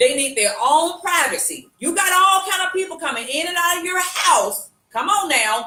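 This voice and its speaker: In a raised, projected voice, the speaker goes at a moderate pace with hardly any pauses and very wide pitch swings. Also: woman, extremely high pitch for a woman. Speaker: live show co-host. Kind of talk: casual chat. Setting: live video stream. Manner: halting, repeats words.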